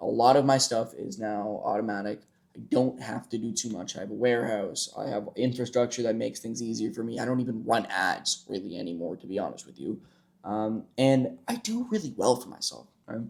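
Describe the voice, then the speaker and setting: The voice shows vocal fry and ordinary pitch variation. It moves at a fairly quick pace, with big swings in loudness. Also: man, medium pitch for a man. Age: 20s. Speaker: entrepreneur and online creator. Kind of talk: casual vlog monologue.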